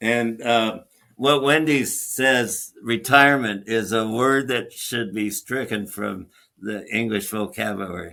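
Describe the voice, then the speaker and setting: Speaking very slowly, a man uses a medium pitch with ordinary pitch variation. His tone is bright and sharp. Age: 80s+. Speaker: hyperbaric physician and surgeon. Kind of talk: interview.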